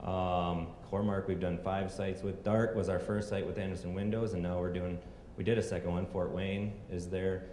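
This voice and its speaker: A man with an American accent speaks at a very deep, low pitch in a monotone, flat intonation. Noticeable background noise and audible room echo fill the recording. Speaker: energy company executive. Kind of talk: conference presentation. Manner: fast.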